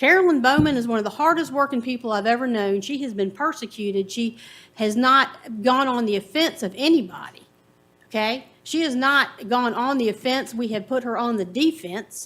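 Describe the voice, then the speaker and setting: A woman with a Virginia accent speaks at a high pitch and a moderate pace, with ordinary pitch variation. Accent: Southern US (Virginia). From US South, Farmville, Virginia. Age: 50s. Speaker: resident giving public comment. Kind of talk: public comment at county board meeting.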